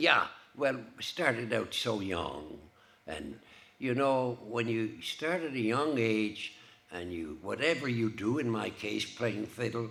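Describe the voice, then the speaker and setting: A man talks at a fairly slow pace and medium pitch with lively intonation. Room echo can be heard. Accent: Cape Breton. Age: 70s. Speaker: fiddler. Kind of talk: casual interview. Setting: stage with audience.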